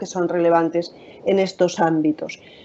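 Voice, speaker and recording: A woman speaks with a Spanish accent. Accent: Spanish (Spain). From Spain. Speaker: occupational safety and health specialist. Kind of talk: webinar presentation. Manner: frequent filler hesitations.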